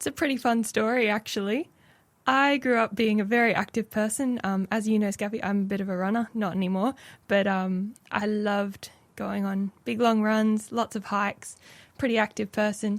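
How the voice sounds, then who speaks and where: Talking with an Australian accent, a woman with a fairly high pitch keeps a moderate pace and fairly even intonation on a very clean recording with a silent background. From Australia, Brisbane (Logan). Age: 20s. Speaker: radio producer. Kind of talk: testimony.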